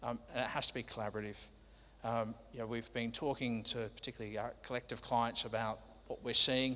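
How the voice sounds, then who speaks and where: The man's voice has a bright, sharp tone at medium pitch. His delivery is fairly quick, with monotone, flat intonation. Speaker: logistics company manager, presenter. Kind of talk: conference presentation.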